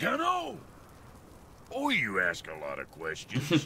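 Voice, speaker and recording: A man speaks in a raspy, put-on character voice at a fairly slow pace. Clear background noise is audible behind him. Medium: video game. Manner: gruff, crude.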